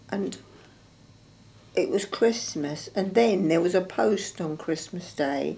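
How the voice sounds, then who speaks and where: Here a woman speaks at a fairly low pitch with ordinary pitch variation and vocal fry. Her tone is dark and mellow. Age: 80s+. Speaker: World War Two home front witness. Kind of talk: interview answer.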